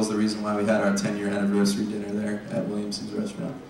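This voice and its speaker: A man is speaking. There is audible room echo along with light background noise. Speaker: lecture series organizer. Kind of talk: event announcements. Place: hall. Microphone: camera far.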